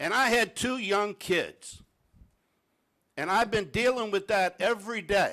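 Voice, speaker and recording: Projecting his raised voice at a high pitch, a man speaks at a fairly slow pace in a very clean recording with a silent background. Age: 60s. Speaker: parish council member. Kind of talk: council meeting speech.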